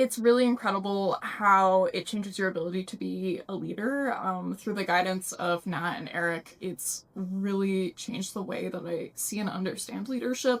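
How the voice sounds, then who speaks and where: A normal speaking voice with an American accent, at a moderate pace with hardly any pauses. The pitch varies in an ordinary way. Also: woman, medium pitch for a woman. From Massachusetts, US. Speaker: program facilitator, recent graduate. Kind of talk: testimonial interview.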